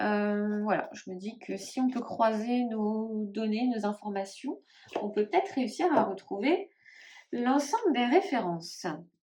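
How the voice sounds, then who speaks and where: The delivery moves at a very slow pace, with lively intonation and big swings in loudness. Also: woman, fairly high pitch for a woman. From northern France (Nord, ch'ti region). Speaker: tarot YouTuber. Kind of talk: casual vlog, collection showcase. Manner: hesitant, many fillers.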